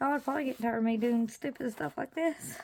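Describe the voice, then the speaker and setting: A woman speaks at a very fast pace in a high, dark and mellow voice with ordinary pitch variation, in a very clean recording with a silent background. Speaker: craft video maker. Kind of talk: tutorial. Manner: casual, self-talking.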